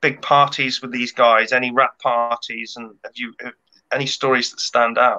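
The speaker here is male, with a British accent. Little noise can be heard behind him. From UK. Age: 30s. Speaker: podcast co-host. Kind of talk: casual interview chat. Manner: hesitant, many ums. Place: home room. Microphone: webcam.

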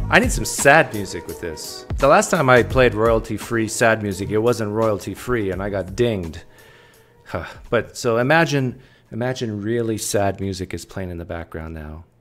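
A man speaks at a fairly low pitch with big swings in loudness. Faint music plays in the background. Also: moderate pace. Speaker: livestream host. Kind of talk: casual livestream chat reading viewer messages. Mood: playful, joking.

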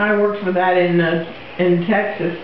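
Against light background noise and audible room echo, a woman speaks very slowly in a flat, monotone way. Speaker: interviewee. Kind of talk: interview answer.

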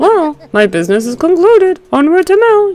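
This put-on character voice is extremely high-pitched with very wide pitch swings. It moves at a moderate pace. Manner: formal, brisk.

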